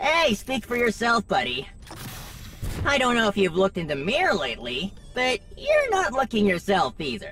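A put-on character voice at a fairly high pitch and moderate pace, over clear background noise. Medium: audio drama. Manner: cocky, joking, upbeat.

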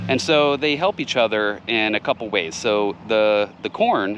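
A man with an ordinary speaking voice talks at a fairly slow pace, fairly low in pitch with ordinary pitch variation. The sound is dry with no echo, over light background noise. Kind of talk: tutorial. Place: garden. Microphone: phone near.

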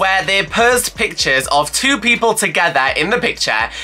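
Faint music plays behind a woman speaking at a fairly quick pace. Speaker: YouTuber. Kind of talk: casual vlog chat. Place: home room.

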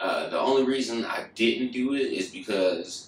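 A man talks, and audible room echo can be heard around his voice. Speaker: vlogger. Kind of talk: casual vlog chat. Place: home room. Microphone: camera far.

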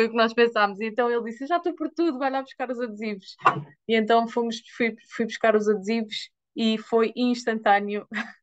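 This woman talks at a fairly quick pace in a fairly high voice with fairly even intonation. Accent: European Portuguese. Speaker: product user giving testimonial. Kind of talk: testimony. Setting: video call, live. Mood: animated, earnest storytelling. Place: home room. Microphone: video call.

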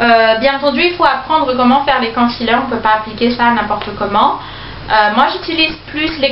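Over light background noise and audible room echo, a woman talks in a high pitch. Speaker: beauty vlogger. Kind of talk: product review haul. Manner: slow, chatty with many fillers. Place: home room. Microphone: phone near.

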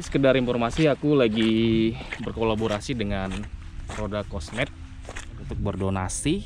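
An unremarkable speaking voice from a man at a fairly low pitch, moderate pace and ordinary pitch variation, with light background noise and a dry sound with no echo. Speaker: solo camping vlogger. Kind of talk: casual vlog chat. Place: beach. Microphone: camera far.

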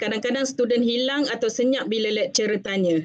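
Here a woman talks in a normal speaking voice with ordinary pitch variation. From Malaysia. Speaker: webinar moderator and nursing academic; webinar moderator. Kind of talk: moderating a webinar. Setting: video call. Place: office. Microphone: webcam.

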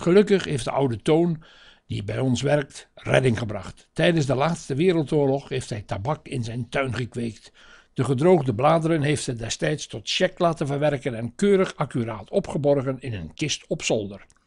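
Against a quiet background, a man talks at a moderate pace with a fairly high pitch, lively intonation and a somewhat breathy quality. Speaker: narrator reading a family chronicle. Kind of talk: 1960s newsreel-style narration, read aloud from a script. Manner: measured, formal, even-paced.

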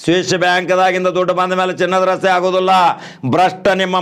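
A man speaks in a high pitch. His tone is animated. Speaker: online news commentator. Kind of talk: political opinion rant. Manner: animated, emphatic.

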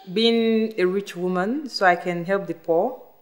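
A woman talks with ordinary pitch variation. All is quiet behind her. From Nigeria, east (Igbo). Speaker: migrant; interviewee. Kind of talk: personal interview. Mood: hopeful, earnest. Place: hall.

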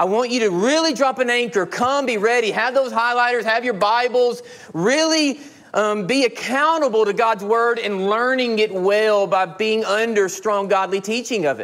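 At a moderate pace, a man speaks at an extremely high pitch with ordinary pitch variation. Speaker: pastor. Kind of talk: sermon. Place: church.

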